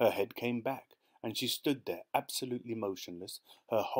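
The pitch varies in an ordinary way as the text is read aloud in a natural voice. Behind it, the background is quiet.

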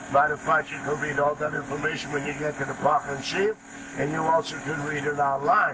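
The speech moves at a fairly quick pace. Loud background noise fills the clip. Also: man. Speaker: boat pilot tour guide. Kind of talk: tour guide narration. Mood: jokey, friendly. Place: boat.

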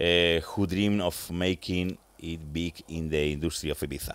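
A man with a Spanish accent speaks fairly slowly with ordinary pitch variation, the sound dry with no echo against a quiet background. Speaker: radio host. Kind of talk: interview. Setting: studio. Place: studio. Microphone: studio mic.

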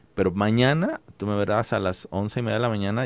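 The sound is dry, with no echo. A man speaks at a fairly low pitch. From Mexico, Guadalajara; Jalisco, Mexico. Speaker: cartoonist; guest. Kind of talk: interview; interview answer. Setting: studio. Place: studio. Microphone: studio mic.

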